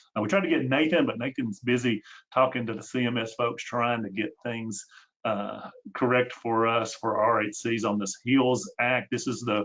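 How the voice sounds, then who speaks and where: A man with a Tennessee accent at a medium pitch, ordinary pitch variation and a moderate pace. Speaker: healthcare consultant, webinar host. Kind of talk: webinar presentation. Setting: online webinar. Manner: hesitant, many fillers.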